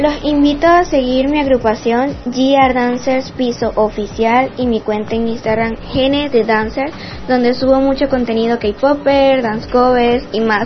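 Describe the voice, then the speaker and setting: With hardly any pauses, a woman talks at a high pitch and with fairly even intonation over noticeable background noise. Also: fairly slow pace. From Venezuela, Puerto Ordaz, Bolívar. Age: 20s. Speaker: dancer and dance instructor. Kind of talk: prepared testimony.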